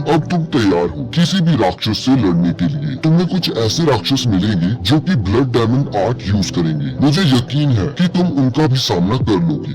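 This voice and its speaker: Over loud background noise, a man does a put-on character voice at a medium pitch and moderate pace. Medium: solo performance.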